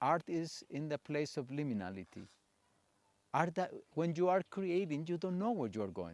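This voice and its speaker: A man with a Spanish accent and a fairly high pitch talks at a moderate pace with very wide pitch swings, in a dry, close sound with no echo on a very clean recording with a silent background. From Colombia. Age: 60s. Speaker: theatre practitioner and psychologist. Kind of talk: conference talk.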